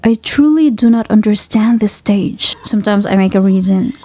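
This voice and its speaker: Noticeable background noise sits behind a woman with a non-native accent. She speaks at a moderate pace and a medium pitch. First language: not English. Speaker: book fan video creator. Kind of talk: casual explanatory vlog. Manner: halting.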